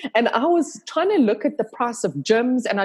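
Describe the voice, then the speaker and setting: The speaker has a South African accent and very wide pitch swings. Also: woman. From South Africa, Cape Town. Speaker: yoga instructor and video creator. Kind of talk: casual chat. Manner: animated.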